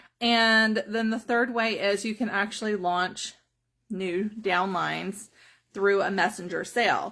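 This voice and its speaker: On a very clean recording with a silent background, a voice with a Southern US accent talks fairly slowly in a bright, sharp tone with fairly even intonation. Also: woman, medium pitch for a woman. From US South, South Carolina. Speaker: direct sales trainer. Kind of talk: live stream training. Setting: Facebook live video.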